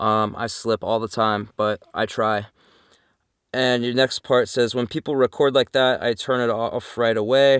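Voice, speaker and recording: A man's flat, monotone voice at a fairly slow pace, recorded dry and close with no echo. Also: medium pitch for a man. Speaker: van-dwelling vlogger. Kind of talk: casual Q&A vlog. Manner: frequent ums and uhs; casual, conversational.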